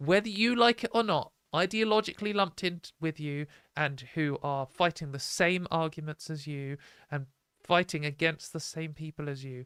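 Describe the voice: Recorded dry and close with no echo, a woman speaks low in pitch, her tone clear, smooth and fairly bright. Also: ordinary pitch variation, moderate pace.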